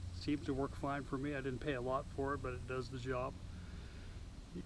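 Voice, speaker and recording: A man with a medium-pitched voice and some vocal fry talks at a moderate pace, with audible echo from the room. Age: 70s. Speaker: motorcycle camping vlogger. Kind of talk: casual vlog talk. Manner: relaxed, conversational with fillers.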